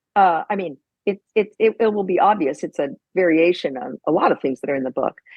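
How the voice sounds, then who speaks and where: Here is a normal speaking voice. The intonation is lively and the pace fairly quick. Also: woman, medium pitch for a woman. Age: 60s. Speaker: professor and author. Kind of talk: interview conversation.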